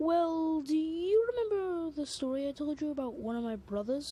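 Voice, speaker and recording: A woman's put-on character voice, high in pitch, at a moderate pace. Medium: read story.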